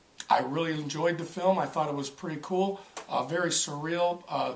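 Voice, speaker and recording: Amid noticeable background noise, a man talks at a moderate pace with a fairly high pitch and fairly even intonation. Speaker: film reviewer. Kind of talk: casual film review vlog. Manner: halting, many fillers and stutters.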